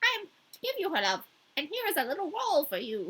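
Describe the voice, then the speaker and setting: A woman's put-on character voice at an extremely high pitch, with very wide pitch swings. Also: fairly quick pace. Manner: difficult to enunciate, cawing.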